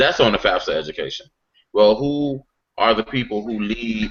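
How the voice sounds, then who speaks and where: With an American accent, a man talks at a moderate pace over music in the background. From South Carolina (Aiken). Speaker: political organization panelist. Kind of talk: online panel discussion. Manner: animated.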